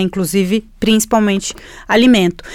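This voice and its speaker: With a Spanish accent, a woman speaks using ordinary pitch variation. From Chile. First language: Spanish (speaking Portuguese). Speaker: environmental journalist. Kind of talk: interview. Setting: studio.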